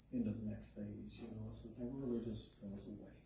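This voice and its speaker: With fairly even intonation and medium pitch, a man speaks at a moderate pace amid audible room echo. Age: 60s. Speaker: speaker sharing a mental health story. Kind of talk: testimony.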